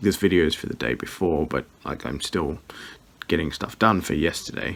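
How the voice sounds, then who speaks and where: A quiet voice with an Australian accent. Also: man. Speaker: vlogger, scrapyard owner. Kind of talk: casual vlog. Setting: at home at night. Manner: quiet, hushed.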